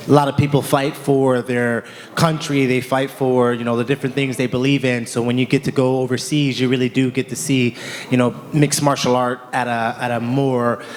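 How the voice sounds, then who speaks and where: A man's medium-pitched voice with an American accent, fairly quick and monotone, flat in intonation, over noticeable background noise. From United States. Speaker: MMA fighter. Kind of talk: press conference answer. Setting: press conference.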